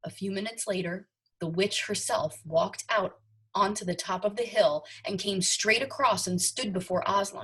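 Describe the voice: In quiet surroundings, the text is read aloud plainly.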